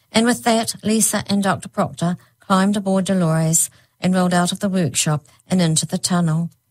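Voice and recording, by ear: This is reading aloud in a natural voice. Nothing else stands out.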